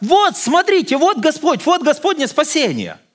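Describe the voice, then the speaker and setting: A raised, projected voice with a bright, sharp tone and lively intonation over a quiet background. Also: man. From Ukraine, Odesa; Ukraine. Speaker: visiting pastor. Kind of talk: sermon. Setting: church. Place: church.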